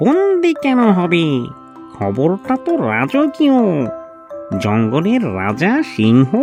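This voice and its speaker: Over clear music in the background, a cartoonish character voice speaks at a very slow pace. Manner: sly, condescending.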